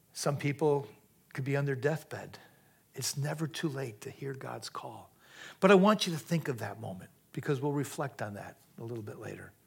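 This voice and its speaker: At a moderate pace, a man with a fairly high pitch, vocal fry and lively intonation speaks with big swings in loudness, captured in a very clean recording with a silent background. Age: 60s. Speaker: preacher. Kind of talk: sermon. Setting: church.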